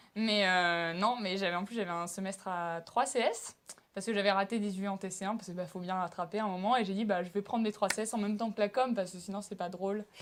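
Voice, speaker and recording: A woman's very fast speech, medium in pitch, with fairly even intonation. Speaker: student actor. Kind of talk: interview.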